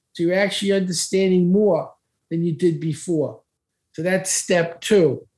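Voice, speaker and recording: The voice has a dark, mellow tone and an American accent, and it moves at a moderate pace. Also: man. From Brooklyn, New York. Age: 70s. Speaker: speed reading expert. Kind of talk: casual interview talk.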